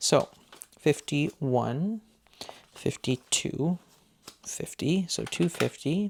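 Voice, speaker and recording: A man speaks softly, his voice sounding dry and close with no echo. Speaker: budgeting YouTuber. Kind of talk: casual tutorial. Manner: soft-spoken; counting aloud.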